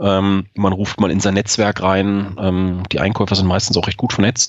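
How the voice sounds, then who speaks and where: A man speaks at a fairly quick pace in a fairly low pitch, his intonation flat and monotone. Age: 40s. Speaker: sales director at a procurement software startup. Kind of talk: podcast interview. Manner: frequent filler hesitations (ähm).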